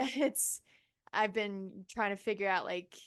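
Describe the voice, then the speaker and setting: A woman with an ordinary speaking voice at a medium pitch, ordinary pitch variation and a moderate pace, over a quiet background. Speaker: musician. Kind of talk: interview. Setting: home studio.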